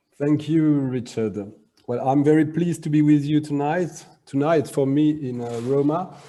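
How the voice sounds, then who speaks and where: In a French accent, a man with a dark, mellow tone talks at a moderate pace, his fairly high pitch showing ordinary variation. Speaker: arts school director. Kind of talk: lecture.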